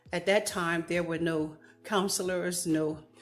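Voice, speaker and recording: Over music in the background, a woman speaks fairly slowly in a fairly low voice with monotone, flat intonation. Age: 60s. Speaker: advocate. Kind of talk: testimony.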